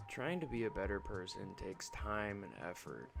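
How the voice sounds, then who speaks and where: A quiet man speaks at a moderate pace with a fairly low pitch. There is music in the background and audible room echo. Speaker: gaming youtuber. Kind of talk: casual vlog monologue. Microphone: bad audio quality.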